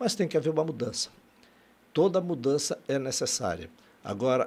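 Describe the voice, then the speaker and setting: Vocal fry runs through this man's fairly high voice as his pitch swings very widely. He keeps a moderate pace. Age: 60s. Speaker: political candidate. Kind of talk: interview. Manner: halting.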